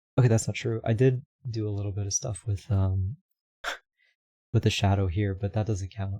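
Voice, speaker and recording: Quiet and somewhat breathy, a man's dark, mellow voice sits at a fairly low pitch, moving at a moderate pace with fairly even intonation. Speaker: streamer and VTuber rigging artist. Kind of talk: casual livestream chat. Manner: mumbling.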